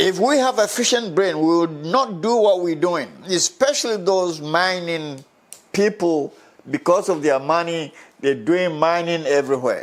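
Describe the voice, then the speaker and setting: The man's pitch is high and his intonation lively. He speaks at a fairly slow pace. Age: 80s+. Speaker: social commentator. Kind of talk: opinion commentary. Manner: emphatic.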